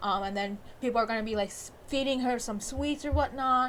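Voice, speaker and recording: The woman here speaks very fast. Noticeable noise fills the background. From Bengali heritage. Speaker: YouTube movie reviewer. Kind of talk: video commentary breakdown. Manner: casual with many fillers.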